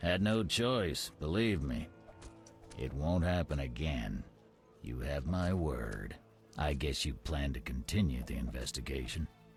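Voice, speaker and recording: A man's put-on character voice, very deep and low, with lively intonation and a fairly slow pace over clear background music. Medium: video game. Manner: brusque, clipped.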